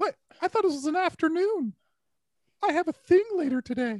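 This put-on character voice is squeaky and extremely high in pitch. It moves at a fairly quick pace. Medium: comedy sketch. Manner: sarcastic, talkative.

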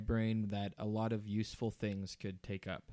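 With an American accent, a man at a medium pitch speaks at a fairly slow pace in monotone, flat intonation. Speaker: podcast co-host. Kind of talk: casual chat. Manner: halting, many fillers.

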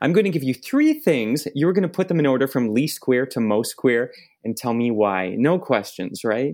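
At a moderate pace, a man with an unremarkable speaking voice talks at medium pitch with lively intonation. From Ontario, Canada (Oakville, Toronto suburb). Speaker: podcast host. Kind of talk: scripted introduction; casual chat. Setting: video call.

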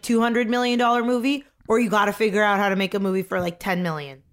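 A woman with a fairly high pitch speaks in an animated tone with ordinary pitch variation. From Canada. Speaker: podcast host, comedic actress. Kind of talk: casual chat.

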